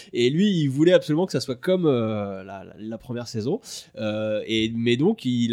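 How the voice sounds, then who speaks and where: A man speaks at a medium pitch and moderate pace with lively intonation. His tone is dark and mellow against a quiet background. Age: 30s. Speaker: video editor and director. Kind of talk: casual chat.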